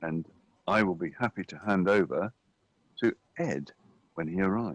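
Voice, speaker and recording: A dry, close sound with no echo and ordinary pitch variation. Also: man. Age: 60s. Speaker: rowing race commentator. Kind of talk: live commentary.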